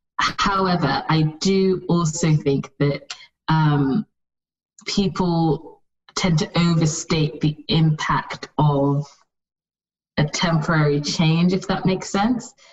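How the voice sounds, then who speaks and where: In a British accent, a woman speaks very slowly at a fairly low pitch, with ordinary pitch variation and very even loudness. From UK, with childhood in Saudi Arabia, Nigeria and US. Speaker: fashion brand founder. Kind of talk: interview. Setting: remote call.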